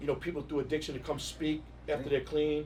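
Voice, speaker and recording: A man with a New York accent, fairly high-pitched and somewhat breathy. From New York, Queens. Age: 50s. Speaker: music industry executive. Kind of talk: casual interview.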